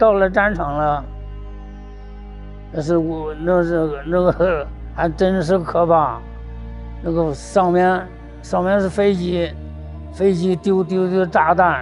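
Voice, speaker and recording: With music in the background, a man speaks at a very slow pace, with long, frequent pauses. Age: 80s+; old. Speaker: war veteran. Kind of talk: interview answer.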